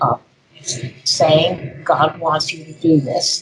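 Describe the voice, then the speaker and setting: Very slowly and in a monotone, flat delivery, a woman with a very deep, low pitch speaks with an American accent. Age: 80s+. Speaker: ritual abuse survivor and speaker. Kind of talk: conference interview.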